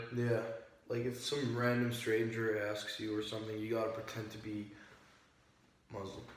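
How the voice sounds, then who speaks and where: This man has an American accent and a medium pitch, talking at a moderate pace in a monotone, flat way with long, frequent pauses. Noticeable background noise and audible room echo fill the recording. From Jordan (Amman), American-born. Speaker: interviewee, student. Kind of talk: casual interview. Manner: casual, hesitant with fillers.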